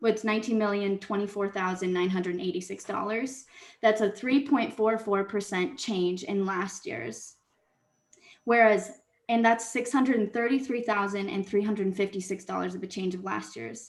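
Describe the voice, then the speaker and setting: A woman talks at a moderate pace, her medium pitch showing ordinary variation. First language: not English. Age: 20s. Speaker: public commenter, social work student. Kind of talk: public comment at city council meeting. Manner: halting, self-correcting.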